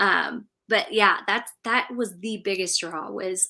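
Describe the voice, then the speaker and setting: On a very clean recording with a silent background, a woman speaks with an American accent in a bright, sharp tone and fairly even intonation. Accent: slight Southern drawl at times. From California. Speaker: local main street program director. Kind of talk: interview on live stream.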